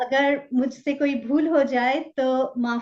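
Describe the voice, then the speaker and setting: The speaker has a Bengali accent and fairly even intonation. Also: woman. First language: Bengali (speaking Hindi). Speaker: talk show host. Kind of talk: interview.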